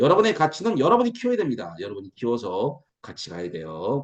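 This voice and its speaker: A man's animated, fairly quick speech full of very wide pitch swings. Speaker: lecturer at online business meeting. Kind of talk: promotional lecture. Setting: video call. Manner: fast.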